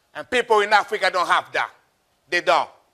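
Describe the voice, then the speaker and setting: A man with a high pitch speaks in a raised, projected voice at a very fast pace, his tone bright and sharp. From Republic of Congo. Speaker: motivational speaker, Marine veteran. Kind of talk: motivational speech. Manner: animated.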